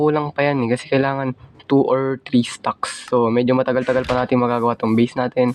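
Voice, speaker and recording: Noticeable background noise behind a man's medium-pitched voice, fairly quick in pace, with monotone, flat intonation. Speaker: gaming YouTuber. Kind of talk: gameplay commentary. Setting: recording at home.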